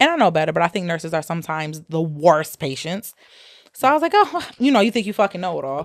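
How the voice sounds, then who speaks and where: A woman's fairly low voice at a very fast pace, animated in tone with lively intonation, on a very clean recording with a silent background. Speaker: podcast co-host, nurse. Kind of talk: casual chat.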